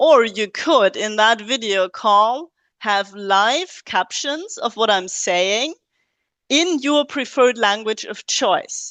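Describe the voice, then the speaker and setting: A woman with a non-native accent speaks with lively intonation, her voice dry and close with no echo over a quiet background. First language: not English. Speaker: academic researcher presenting in webinar. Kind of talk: webinar lecture. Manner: hesitant with frequent fillers.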